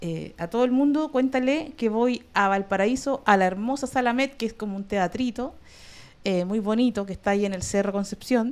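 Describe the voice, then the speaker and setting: A woman's fairly high voice in a Chilean accent. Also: ordinary pitch variation, moderate pace. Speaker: comedian and online show host; comedian, online show host. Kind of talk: casual chat. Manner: animated. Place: home room. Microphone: studio mic.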